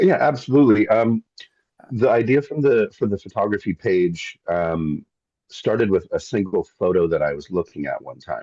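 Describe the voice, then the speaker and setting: With a Pacific Northwest accent, a man speaks at a moderate pace, the sound dry and close with no echo. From Seattle, Washington State, US. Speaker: landscape photographer and wilderness tour guide. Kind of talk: casual interview.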